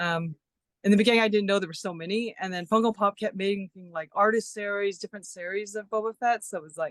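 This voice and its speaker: A woman talks very fast at a medium pitch with fairly even intonation and big swings in loudness, in a dry, close sound with no echo. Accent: American. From California. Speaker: collector. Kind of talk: casual interview.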